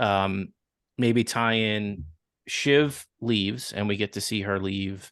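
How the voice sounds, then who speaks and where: In a Long Island accent, a man talks at a very slow pace with a quiet background. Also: fairly low pitch for a man, fairly even intonation. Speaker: podcast co-host. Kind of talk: casual chat.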